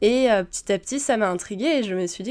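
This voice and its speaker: Ordinary in pitch variation, a woman's speech races along at a very fast pace. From Paris region, France. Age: 20s. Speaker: software developer, former cook. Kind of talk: testimony. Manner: hesitant, many filler sounds.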